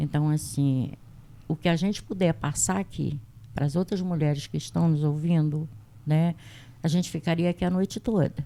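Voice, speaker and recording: A woman with a very deep, low pitch and a dark, mellow tone speaks at a moderate pace with very even loudness, ordinary pitch variation and long, frequent pauses. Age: 60s. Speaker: health agent and women's rights activist. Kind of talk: testimony.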